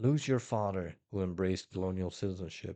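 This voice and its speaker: Man with a Dutch accent, a dark, mellow tone and a moderate pace. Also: quiet background. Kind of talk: nonfiction book reading.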